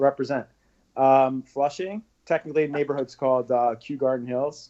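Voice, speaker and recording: This man speaks in a New York accent at a medium pitch. His pace is moderate and his intonation fairly even. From New York, Queens. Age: 30s. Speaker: social media personality. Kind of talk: interview.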